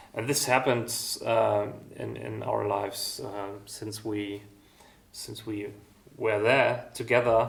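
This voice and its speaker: In a room with audible echo, a man speaks at a very slow pace with big swings in loudness. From East Germany. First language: German. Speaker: music school founder and musician. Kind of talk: interview. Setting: music school. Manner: halting, many fillers.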